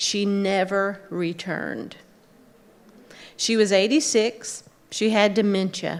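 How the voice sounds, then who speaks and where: A woman speaks at a medium pitch and a very slow pace. Audible room echo surrounds her voice. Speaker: clinical social worker. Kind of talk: conference talk.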